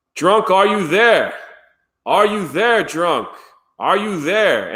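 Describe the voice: A put-on character voice from a man, high-pitched and delivered at a very slow pace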